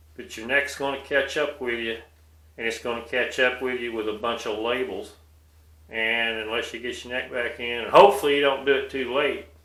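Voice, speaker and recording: Amid audible room echo, a man speaks at a fairly quick pace in a bright, sharp tone with fairly even intonation. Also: medium pitch for a man. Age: 60s. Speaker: video blogger. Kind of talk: personal monologue.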